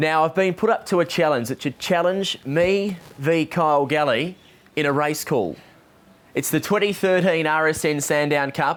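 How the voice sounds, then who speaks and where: An unremarkable speaking voice from a man, moderate in pace, with ordinary pitch variation and very even loudness. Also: fairly high pitch for a man. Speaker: greyhound race caller and interviewer. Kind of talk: interview questions.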